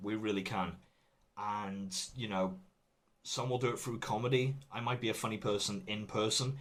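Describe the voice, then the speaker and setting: A man with an English accent, at a fairly low pitch and a moderate pace, with audible room echo. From England. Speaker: comedian. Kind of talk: recorded talk. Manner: serious, not jokey.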